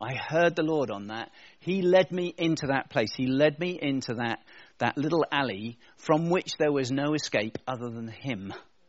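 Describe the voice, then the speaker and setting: Using lively intonation, a man with an English accent talks at a fairly high pitch. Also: moderate pace. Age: 50s. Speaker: pastor. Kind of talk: sermon. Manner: casual, conversational.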